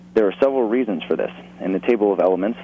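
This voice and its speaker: Noticeable background noise sits behind a man whose voice shows ordinary pitch variation. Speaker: caller. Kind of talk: call-in, reading aloud from a book. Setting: phone call.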